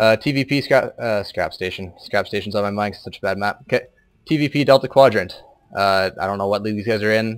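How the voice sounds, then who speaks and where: A man with a fairly low voice speaks at a very fast pace. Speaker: amateur game caster. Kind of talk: live commentary. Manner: monotone; halting.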